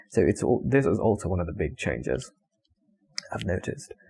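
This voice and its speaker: This man has a non-native accent and a fairly low pitch. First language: not English. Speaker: vlogger. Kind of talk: casual monologue. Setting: talking to camera. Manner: halting.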